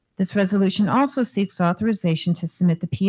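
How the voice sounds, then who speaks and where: Somewhat breathy, a woman speaks at a very fast pace in a dark, mellow tone. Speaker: housing authority executive. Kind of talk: formal presentation.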